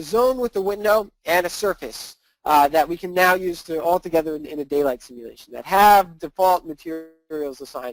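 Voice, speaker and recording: A man's fairly quick, high-pitched speech with lively intonation, big swings in loudness and hardly any pauses, dry and close with no echo. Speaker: software workshop instructor. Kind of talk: live webinar tutorial. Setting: live webinar with chat window. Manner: fast.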